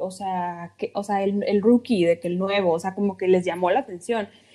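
A woman's voice with a dark, mellow tone. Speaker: podcast host. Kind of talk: casual chat. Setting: remote recording from home.

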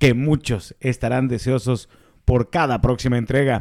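This is an ordinary speaking voice. The man speaks at a fairly slow pace. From Mexico City. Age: 30s. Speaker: podcast co-host. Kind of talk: casual chat.

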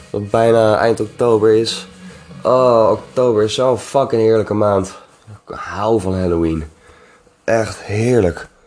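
The speech comes at a very slow pace with long, frequent pauses. Intonation stays fairly even over noticeable background noise. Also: man, fairly low pitch for a man. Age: 20s. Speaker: podcast host. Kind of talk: solo casual monologue. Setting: home recording at night, music in background. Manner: rambling, halting with many fillers.

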